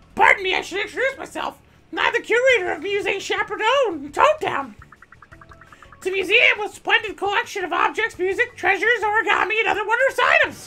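A put-on character voice, strained and extremely high-pitched, moves at a fairly quick pace over music in the background.

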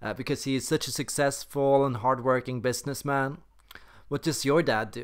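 The background is quiet as a man talks. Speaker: personality content creator. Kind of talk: comedic sketch acting, character monologues. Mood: playful, shifting character moods. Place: home room. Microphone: webcam.

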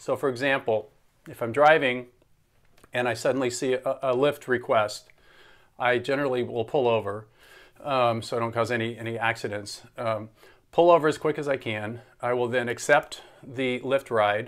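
Against a quiet background, a man talks with fairly even intonation and long, frequent pauses. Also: moderate pace. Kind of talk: tutorial. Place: home room. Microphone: phone near.

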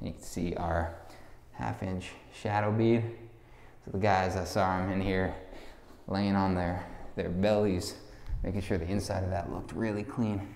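A man's very deep, low voice at a moderate pace with fairly even intonation and long, frequent pauses, amid light background noise and audible room echo. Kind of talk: walkthrough commentary. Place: empty room. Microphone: phone near.

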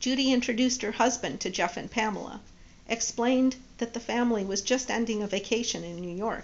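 Ordinary pitch movement in an unforced reading voice

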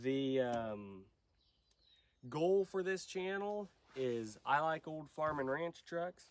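A man speaks slowly in a fairly high, nasal voice. His intonation is lively.

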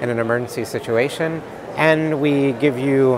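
The man's intonation stays fairly even, and his dry, echo-free sound sits over noticeable background noise. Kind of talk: interview answer. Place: hall. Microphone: lapel.

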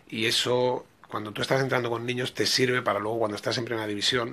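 The man speaks at a very fast pace. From Catalonia, Spain. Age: 40s. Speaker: football coach. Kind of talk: interview. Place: office. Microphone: podium.

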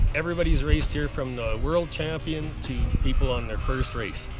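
Clear music sits in the background. Over it, a man talks at a medium speed. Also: dry sound with no echo. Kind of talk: interview answer. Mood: relaxed, friendly. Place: waterside.

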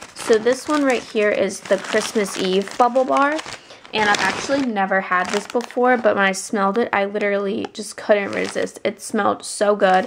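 A woman speaks at a moderate pace. Behind her, noticeable background noise can be heard. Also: medium pitch for a woman, ordinary pitch variation. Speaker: vlogger. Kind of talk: casual vlog haul. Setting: handheld camera on knee. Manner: chatty, filler-heavy.

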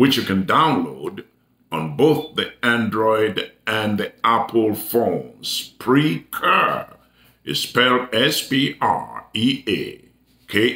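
A man at a very slow pace, with audible room echo. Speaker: preacher. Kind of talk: sermon announcements to online viewers.

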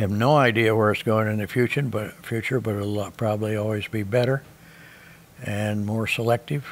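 A man with an American accent speaks in a fairly low pitch at a moderate pace, his intonation monotone and flat. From US Midwest. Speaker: seed corn farmer. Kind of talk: interview answer. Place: home room.

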